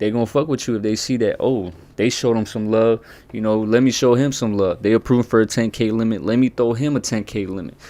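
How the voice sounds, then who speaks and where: Talking at a fairly quick pace, a man has a dark, mellow tone, medium pitch and ordinary pitch variation. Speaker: credit advice content creator. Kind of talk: casual tutorial. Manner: fast, stuttering; casual slangy.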